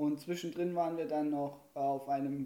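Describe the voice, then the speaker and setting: Here is a dark, mellow tone. The pace stays moderate. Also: man. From Saxony, Erzgebirge region, Germany. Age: 20s. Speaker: student teacher. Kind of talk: casual chat. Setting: home kitchen studio.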